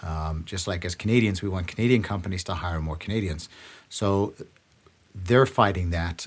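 Very deep, low male voice, somewhat breathy, with fairly even intonation and long, frequent pauses. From South Africa, Johannesburg. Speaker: actor. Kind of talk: casual chat. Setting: studio.

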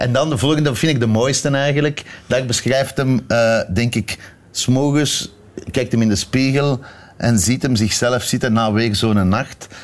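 A man with a Flemish accent talks at a fairly slow pace, with ordinary pitch variation and very even loudness. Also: medium pitch for a man. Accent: Flemish Dutch. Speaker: TV director. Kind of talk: casual chat. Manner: halting.

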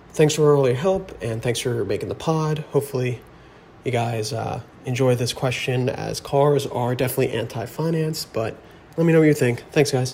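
A man with an American accent and a plain, everyday voice, medium pitch, ordinary pitch variation and a moderate pace. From New Jersey. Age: 20s. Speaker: caller. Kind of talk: voice memo question.

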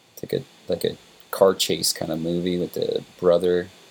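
A man speaking with an American accent keeps a moderate pace over noticeable background noise. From upstate New York, Warwick. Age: 30s. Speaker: rock musician. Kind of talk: casual chat.

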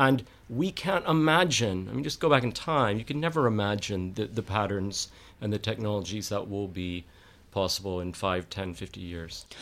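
In a very clean recording with a silent background, a man with an American accent and a normal speaking voice talks at a moderate pace, his fairly low pitch carrying lively intonation. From Texas. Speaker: scientist. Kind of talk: casual chat.

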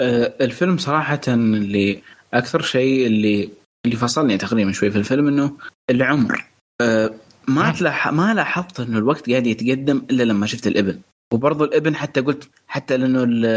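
Here a man has an unremarkable speaking voice at a medium pitch. He keeps a moderate pace with ordinary pitch variation. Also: very even loudness. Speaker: co-host, movie discussant. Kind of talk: casual chat.

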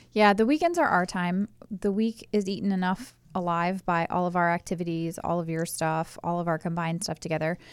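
An ordinary speaking voice at a fairly quick pace, fairly even in intonation, on a very clean recording with a silent background. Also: woman, fairly low pitch for a woman. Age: 30s. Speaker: host's wife. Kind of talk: casual chat.

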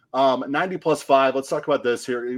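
Against a quiet background, a man talks fairly quickly in a plain, everyday voice, at a medium pitch with ordinary pitch variation. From US Midwest, Western Illinois. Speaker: soccer podcast host. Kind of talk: casual chat.

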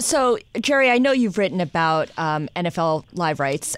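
At a moderate pace, a woman speaks in an ordinary speaking voice with a fairly low pitch. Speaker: podcast host. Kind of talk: news banter.

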